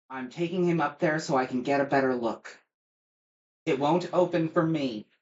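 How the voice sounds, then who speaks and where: A man puts on a raspy character voice with a fairly high pitch. His pitch varies in an ordinary way at a moderate pace. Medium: actual play. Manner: curt, clipped.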